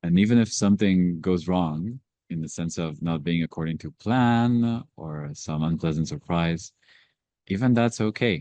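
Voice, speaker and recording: A man's very deep, low voice, dark, mellow and calm, at a moderate pace with ordinary pitch variation, in a dry, close sound with no echo and a quiet background. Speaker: meditation book club facilitator. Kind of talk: group meditation discussion.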